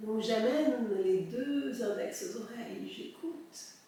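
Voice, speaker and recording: Noticeable background noise behind a woman's fairly high, calm voice with lively intonation. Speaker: soprano singer and breathing teacher. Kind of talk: guided breathing exercise. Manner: calm, slow.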